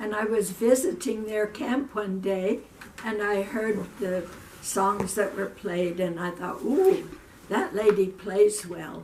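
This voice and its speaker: Amid noticeable background noise, a woman speaks at a very slow pace with a medium pitch and ordinary pitch variation. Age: 80s. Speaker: retired schoolteacher. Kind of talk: casual interview.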